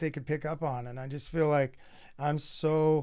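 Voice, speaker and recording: A man with an unremarkable speaking voice, fairly high pitch, fairly even intonation and a moderate pace on a very clean recording with a silent background. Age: 60s. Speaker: podcast host. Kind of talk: casual chat.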